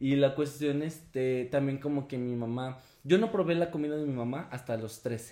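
A man with a normal speaking voice, fairly high pitch, ordinary pitch variation and a moderate pace. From León, Guanajuato, Mexico. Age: 20s. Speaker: performance artist. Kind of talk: casual chat.

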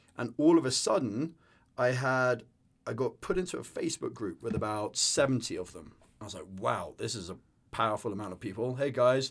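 A man with an English accent speaks at a moderate pace and medium pitch, with lively intonation and big swings in loudness, on a very clean recording with a silent background. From northern England. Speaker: business co-founder and sailing instructor. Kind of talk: casual interview chat.

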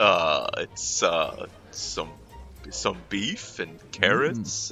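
A man uses a put-on character voice at a very slow pace. Clear music plays in the background. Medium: actual play. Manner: halting, full of 'uh', polite.

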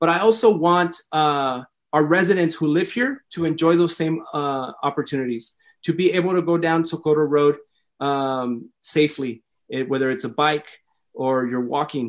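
Against a quiet background, a man talks at a moderate pace. His pitch is fairly high, with ordinary pitch variation. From El Paso, Texas (Lower Valley). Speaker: mayoral candidate. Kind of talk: campaign interview. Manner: animated.

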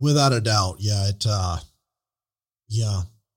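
Somewhat breathy and fairly low, a man's voice moves at a fairly slow pace with lively intonation. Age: 30s. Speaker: podcast host. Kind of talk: casual interview.

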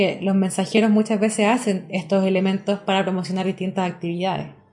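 A woman talks at a fairly quick pace. Her tone is dark and mellow, and she sounds somewhat breathy. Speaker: radio host and church journalist. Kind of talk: radio interview.

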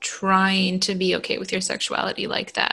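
The woman's tone is bright and sharp. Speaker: podcast host. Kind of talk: casual chat between cousins. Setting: remote recording.

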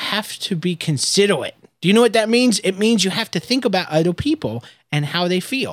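A man's animated, high-pitched voice with lively intonation at a fairly quick pace. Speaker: podcast host and father. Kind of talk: casual chat with his child.

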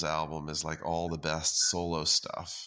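A man speaks in a very deep, low voice with a bright, sharp tone. His intonation is monotone and flat, and the recording is very clean with a silent background. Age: 40s. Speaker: author. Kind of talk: interview. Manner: halting, with many repetitions.

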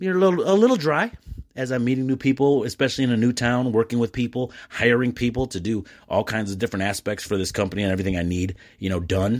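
On a very clean recording with a silent background, a man with an American accent talks very fast in an animated tone at a medium pitch. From Michigan (East Dearborn, Detroit area). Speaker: podcast host and importer of Mexican goods. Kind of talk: solo casual monologue. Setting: at home at night. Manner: halting, many fillers.

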